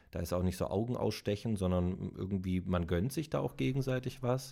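A man's very deep, low voice with a dark, mellow tone and lively intonation, at a moderate pace, in a very clean recording with a silent background. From Baden-Württemberg, Stuttgart. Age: 30s. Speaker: YouTuber, former radio presenter. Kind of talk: casual interview.

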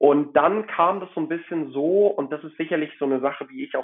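Here a man uses a plain, everyday voice with ordinary pitch variation. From Hamburg, northern Germany. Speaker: watch collector. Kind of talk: casual chat.

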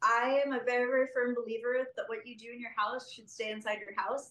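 This is a woman with an unremarkable speaking voice. She talks at a fairly quick pace in a fairly high pitch. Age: 20s. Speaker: interview guest. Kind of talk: casual interview.

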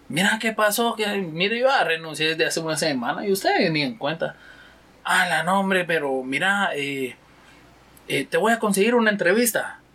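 With noticeable background noise behind him, a man uses a raised, projected, high-pitched voice with lively intonation at a moderate pace. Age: 30s. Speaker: security guard and father. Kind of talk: casual interview.

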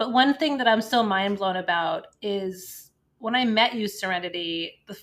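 Recorded very cleanly against a silent background, a woman with a medium-pitched voice speaks with ordinary pitch variation, a plain, everyday voice. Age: 40s. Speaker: podcast co-host. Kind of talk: casual chat.

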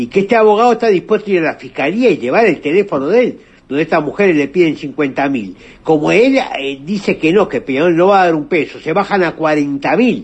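A man speaks at a high pitch with lively intonation. His pace is fairly quick. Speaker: listener sending voice message. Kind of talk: voice message opinion. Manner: halting, repetitive.

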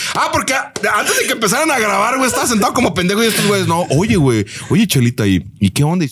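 The pace is very fast and the loudness very even. Pitch swings very widely throughout. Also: man, high pitch for a man. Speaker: comedic content creator, football fan. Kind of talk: casual chat.

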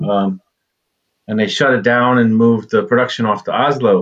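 This speaker has an American accent and a normal speaking voice. The pace is moderate. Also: man. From United States. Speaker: brewery co-owner. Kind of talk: casual chat.

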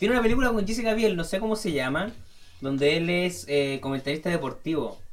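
Amid noticeable background noise, a man with a high pitch talks at a very fast pace with lively intonation. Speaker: film podcast co-host. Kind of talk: casual chat. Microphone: sounds bad on the mic.

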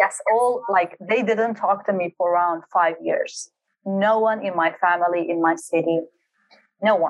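With a Kurdish accent, a woman speaks at a fairly slow pace. Her pitch is medium, with ordinary variation. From Kurdistan region of Iraq, Halabja. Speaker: high performance coach. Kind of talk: interview, personal life story.

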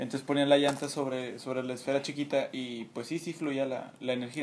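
A man's flat, monotone voice at a fairly quick pace, with noticeable background noise. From Mexico. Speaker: student team captain. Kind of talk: casual chat.

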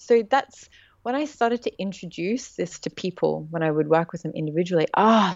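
This woman has an unremarkable speaking voice at a medium pitch. Her intonation is lively. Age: 30s. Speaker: intuitive mentor and writer. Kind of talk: interview.

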